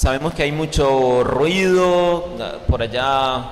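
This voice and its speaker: Over noticeable background noise and audible room echo, a man speaks at a very slow pace, his pitch fairly high with ordinary variation. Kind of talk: sermon.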